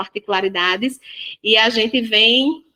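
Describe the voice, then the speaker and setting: A woman with a northeastern Brazilian accent speaks in a bright, sharp tone with ordinary pitch variation. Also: dry, close sound with no echo. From Northeast Brazil. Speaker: holistic therapist and parenting educator. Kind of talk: podcast interview. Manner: spontaneous.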